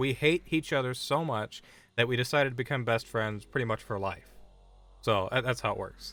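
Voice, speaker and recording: A loud man's voice at medium pitch, with ordinary pitch variation and a moderate pace, on a very clean recording with a silent background. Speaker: video game streamer. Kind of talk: live gameplay stream chat. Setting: live stream at home, headset removed. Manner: casual, conversational.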